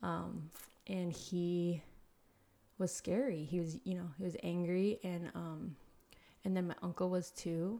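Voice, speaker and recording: This woman's pitch is fairly low, with a dark, mellow tone. Her intonation stays fairly even. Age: 30s. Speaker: podcast guest, entrepreneur. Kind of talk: casual interview conversation. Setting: home studio in an apartment.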